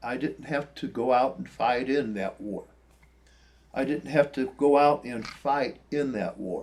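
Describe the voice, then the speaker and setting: Pitched fairly high, a man speaks at a fairly slow pace. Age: 60s. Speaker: spiritual vlogger. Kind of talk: reflective monologue. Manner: halting.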